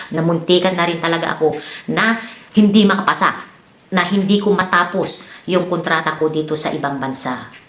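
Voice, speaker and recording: Against noticeable background noise and audible room echo, a woman with fairly low pitch and ordinary pitch variation talks at a fairly quick pace. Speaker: vlogger and domestic worker abroad. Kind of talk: advice vlog. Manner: casual, many fillers.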